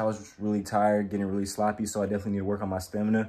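Here a man speaks at a very fast pace. His pitch is fairly low. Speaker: amateur boxer vlogger. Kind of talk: casual vlog chat. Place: home room. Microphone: phone near.

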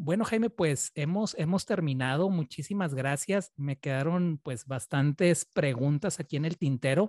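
A man speaks in a normal speaking voice, fairly high-pitched for a man, at a fairly slow pace with ordinary pitch variation and hardly any pauses. The background is quiet, and the sound is dry with no echo. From Chihuahua, northern Mexico. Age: 30s. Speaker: interviewer, Spanish teacher. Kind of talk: interview. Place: home room. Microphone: studio mic.

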